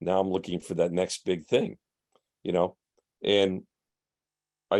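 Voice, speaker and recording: This man has a very deep, low voice and speaks at a moderate pace. The background is quiet. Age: 60s. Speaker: professor. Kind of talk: lecture. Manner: casual, hesitant.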